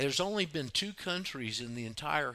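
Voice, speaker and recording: A man talks in a Southern US accent with a bright, sharp tone. His pitch swings very widely. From US South, Florida panhandle. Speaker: radio host. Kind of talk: call-in talk radio. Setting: online radio studio, Skype calls.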